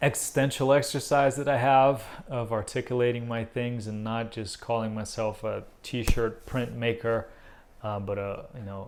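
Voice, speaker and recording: A man with a Portuguese accent speaks at a moderate pace, medium in pitch, with fairly even intonation. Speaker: visual artist. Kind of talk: casual vlog update. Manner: hesitant, many fillers.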